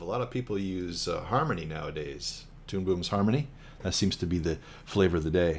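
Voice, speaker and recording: A man's very deep, low pitch, somewhat breathy, with lively intonation at a fairly quick pace. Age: 60s. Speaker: animator. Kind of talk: casual chat.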